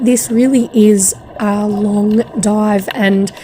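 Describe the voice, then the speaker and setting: There is noticeable background noise as a woman talks in a fairly high voice. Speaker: scuba diver. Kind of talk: travel vlog voice-over narration.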